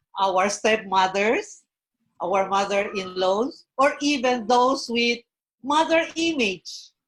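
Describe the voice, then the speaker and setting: In a Filipino accent, a woman speaks at a fairly high pitch. Her intonation is lively, and her pace is very slow. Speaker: professional guest on a Mother's Day panel. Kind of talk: online panel interview.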